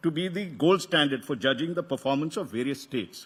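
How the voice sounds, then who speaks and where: A man with a South Indian accent speaks at a fairly quick pace. His fairly high voice shows ordinary pitch variation. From Karnataka, South India. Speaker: media executive opening a conference. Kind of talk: welcome address. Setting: stage with audience. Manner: halting, many fillers and restarts; formal.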